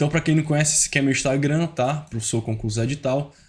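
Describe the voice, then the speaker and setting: A somewhat breathy man at a fairly quick pace, medium in pitch with ordinary pitch variation. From Brazil, Ceará. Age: 20s. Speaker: teacher giving exam-prep tips. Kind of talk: online tutorial. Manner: informal, fast-paced.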